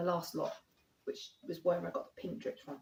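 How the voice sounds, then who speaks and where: A woman with a London accent, medium pitch and a somewhat breathy sound. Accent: southern English (London). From southeast London, England. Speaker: acrylic paint artist. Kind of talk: painting tutorial. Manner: casual, chatty with fillers.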